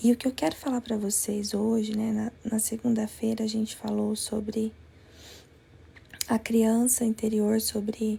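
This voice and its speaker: Soft-spoken, a woman talks fairly slowly in a fairly high pitch with monotone, flat intonation. Noticeable background noise sits under her voice. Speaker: life coach and former nursing teacher. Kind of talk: live-stream talk to viewers. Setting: live stream from another place. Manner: soft-spoken, speaking quietly.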